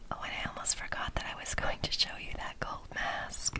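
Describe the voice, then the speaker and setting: A woman whispers at a fairly slow pace, with noticeable background noise behind her. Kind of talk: casual talk to camera about skincare products. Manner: gentle, relaxed.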